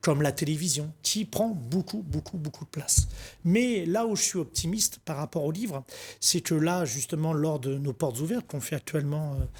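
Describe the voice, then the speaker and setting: A man's ordinary speaking voice, fairly high-pitched with lively intonation, on a very clean recording with a silent background. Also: moderate pace. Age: 40s. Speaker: book wholesaler, shop manager. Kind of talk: TV interview. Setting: TV studio.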